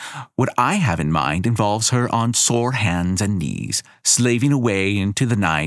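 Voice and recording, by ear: Read aloud in a natural voice, the speech moves with ordinary pitch variation.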